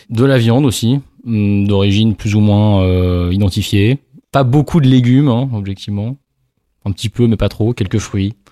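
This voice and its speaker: A man speaks at a fairly slow pace in a fairly low pitch, with a dark, mellow tone and ordinary pitch variation. The recording is very clean and dry, close with no echo and a silent background. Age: 30s. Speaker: lawyer. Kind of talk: casual interview conversation.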